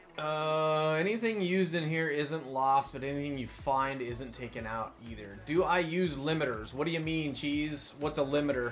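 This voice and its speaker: A man with a fairly high pitch talks at a moderate pace with hardly any pauses and ordinary pitch variation. Noticeable background noise and audible room echo fill the recording. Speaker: video game streamer. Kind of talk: live game stream. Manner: loud.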